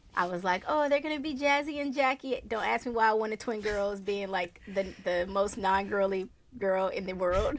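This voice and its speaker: In a plain, everyday voice, a woman talks at medium pitch with lively intonation. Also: moderate pace. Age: 40s. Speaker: podcast host. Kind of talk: casual chat.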